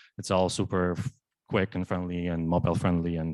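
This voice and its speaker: Very deep and low, a man's voice comes at a fairly quick pace. The recording is very clean with a silent background and a dry, close sound with no echo. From Poland. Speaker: data engineer. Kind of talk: tech talk. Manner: halting, many fillers.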